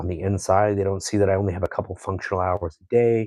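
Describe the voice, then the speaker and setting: A man's fairly low, somewhat breathy voice at a fairly quick pace, with fairly even intonation, dry, close sound with no echo and a quiet background. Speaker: painter. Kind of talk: casual vlog talk. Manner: stutters at times; conversational.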